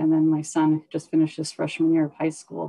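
A woman's very deep, low voice with a dark, mellow tone and monotone, flat intonation, in an Alaskan accent, against a quiet background. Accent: Alaskan American English. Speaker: corporate lawyer and executive; corporate lawyer. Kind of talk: panel discussion. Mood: calm, reflective. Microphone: video call.

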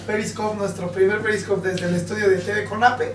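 In a room with audible echo and light background noise, a man with a high pitch talks at a fairly quick pace with ordinary pitch variation. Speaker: TV show host. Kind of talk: scripted show intro. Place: studio.

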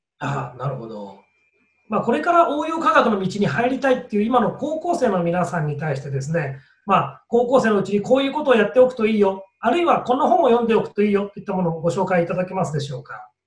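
Talking at a very fast pace with very wide pitch swings, a man with a high pitch is heard with audible room echo. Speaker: education writer and interviewer. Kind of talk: interview. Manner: polite. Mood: polite, friendly. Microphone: video call.

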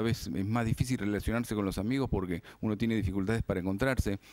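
With a normal speaking voice, a man talks at a fairly low pitch with ordinary pitch variation, the sound dry with no echo and the background quiet. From Argentina. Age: 40s. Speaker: cooperative organizer; TV guest. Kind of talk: interview. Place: studio. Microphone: studio mic.

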